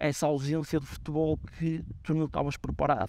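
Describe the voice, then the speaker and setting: Moderately paced speech from a man with a fairly high pitch, dry with no echo. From northern Portugal, Guimarães area; northern Portugal. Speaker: football coach. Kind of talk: interview. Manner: halting, many fillers and repetitions. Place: stadium.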